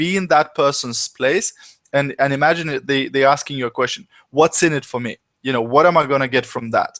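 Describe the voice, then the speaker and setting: A man with an ordinary speaking voice, fairly high in pitch with ordinary variation, at a fairly quick pace, with a dry, close sound and no echo. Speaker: business coach. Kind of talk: webinar presentation. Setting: live online broadcast.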